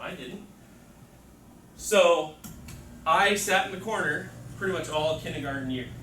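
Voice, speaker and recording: With lively intonation, a man talks against noticeable background noise and an audible room echo. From Mexico. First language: Spanish. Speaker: teacher trainer. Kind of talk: workshop presentation.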